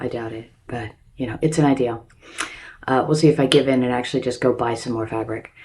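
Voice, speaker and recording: Talking at a very fast pace with fairly even intonation, a woman with a very deep, low pitch shows big swings in loudness over noticeable background noise. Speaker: DIY crafts YouTuber. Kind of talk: casual vlog intro. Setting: recording in her bathroom.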